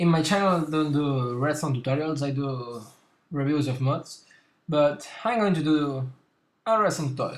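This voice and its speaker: A man with a fairly high pitch speaks at a fairly slow pace, his pitch varying in an ordinary way. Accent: non-native. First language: not English. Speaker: gaming YouTuber. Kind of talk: tutorial. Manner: halting, with fillers.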